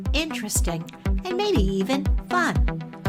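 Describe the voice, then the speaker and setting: A woman speaking, with music in the background. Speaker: podcast host. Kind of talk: podcast intro.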